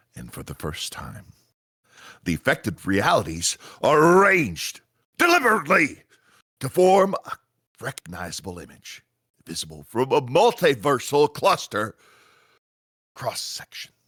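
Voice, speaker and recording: Putting on a raspy character voice, a man with a fairly high pitch talks at a moderate pace with long, frequent pauses. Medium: audio drama.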